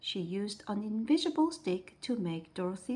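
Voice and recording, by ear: Someone is reading aloud in a natural voice, and the intonation is lively.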